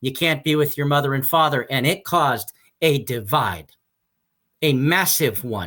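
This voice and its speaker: Loud and passionate, a man speaks in a bright, sharp tone at a fairly high pitch with ordinary pitch variation on a very clean recording with a silent background. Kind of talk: interview. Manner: passionate, halting repetitions.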